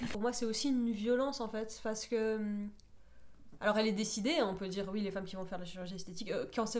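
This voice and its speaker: Talking at a very fast pace, a woman uses a fairly high pitch with fairly even intonation. The room echo is audible, and there is noticeable background noise. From southern France, Perpignan. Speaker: playwright and short story writer. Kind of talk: radio interview.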